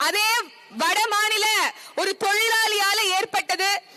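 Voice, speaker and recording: An extremely high-pitched woman uses a raised, projected voice with monotone, flat intonation. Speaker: political party women's wing functionary. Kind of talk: fiery protest speech at a rally. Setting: outdoors at a public demonstration. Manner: fiery, forceful, sarcastic.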